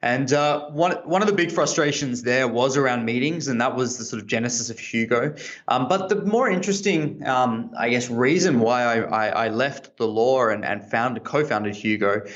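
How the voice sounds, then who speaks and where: With an Australian accent and lively intonation, the speaker runs on with hardly any pauses amid audible room echo. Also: man, medium pitch for a man, moderate pace. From Australia, Sydney. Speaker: tech entrepreneur, former lawyer. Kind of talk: interview. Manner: hesitant, many fillers.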